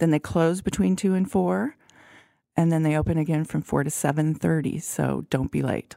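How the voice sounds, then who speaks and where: A woman's very deep, low, dark, mellow voice with lively intonation at a moderate pace, dry and close with no echo, on a very clean recording with a silent background. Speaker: food journalist podcast co-host. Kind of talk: casual chat. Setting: studio.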